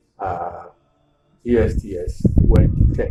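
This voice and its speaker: A man is speaking. There is music in the background. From Ghana. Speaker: school alumnus, elder. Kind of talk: interview, reminiscence.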